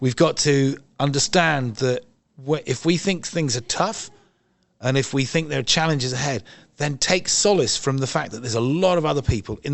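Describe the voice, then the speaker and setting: A man with an English accent speaks at a moderate pace in a medium pitch. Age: 60s. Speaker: environmental campaigner. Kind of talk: interview. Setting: event venue.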